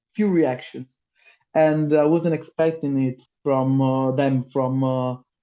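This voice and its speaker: In an Italian accent, a man with a dark, mellow, fairly high-pitched voice talks very slowly, his intonation fairly even and his loudness very even. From Italy. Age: 30s. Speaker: metal singer. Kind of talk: casual interview. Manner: halting, many fillers.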